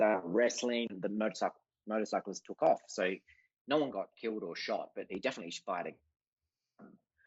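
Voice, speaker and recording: A man with an Australian accent speaks fairly quickly in a fairly low voice with ordinary pitch variation. His loudness swings widely, and he leaves long, frequent pauses. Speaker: artist. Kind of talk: casual chat.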